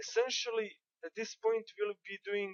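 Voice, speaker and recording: The speaker is a woman with a non-native accent. She talks fairly slowly. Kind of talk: game tutorial commentary.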